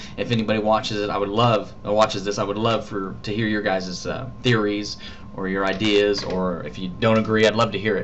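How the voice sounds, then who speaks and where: Room echo is audible as a man speaks fairly quickly with fairly even intonation. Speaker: vlogger. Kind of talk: casual vlog storytelling. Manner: mumbling; halting.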